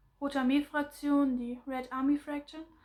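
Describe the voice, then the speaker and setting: A woman's high, monotone, flat delivery with a German accent, at a fairly slow pace. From Germany. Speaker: political commentary vlogger. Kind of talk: explainer monologue. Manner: halting, many fillers and restarts.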